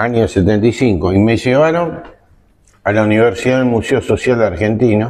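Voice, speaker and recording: A man with a normal speaking voice talks at medium pitch and a moderate pace, with ordinary pitch variation and very even loudness. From Argentina, Zárate (Buenos Aires province). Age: 60s. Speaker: lawyer and former coast guard officer. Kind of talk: interview testimony. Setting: restaurant recording.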